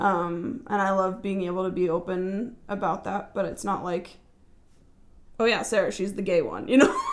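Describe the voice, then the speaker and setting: Amid noticeable background noise and audible room echo, a woman with a medium-pitched voice speaks at a moderate pace. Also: ordinary pitch variation. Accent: American. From California, Central Valley. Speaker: podcast guest. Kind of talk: casual chat. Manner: loud; halting.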